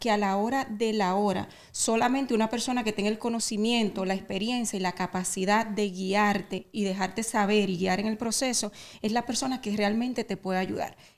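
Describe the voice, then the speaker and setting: A woman with an unremarkable speaking voice, a fairly high pitch, fairly even intonation and a moderate pace. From Dominican Republic. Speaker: real estate agent. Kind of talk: interview.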